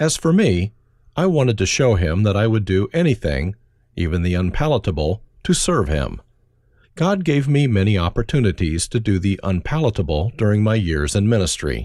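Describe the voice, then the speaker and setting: A man speaks at a moderate pace in a fairly low voice, his pitch swinging very widely while his loudness stays very even. The recording is very clean, with a silent background. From Germany. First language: German. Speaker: pastor. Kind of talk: reading aloud.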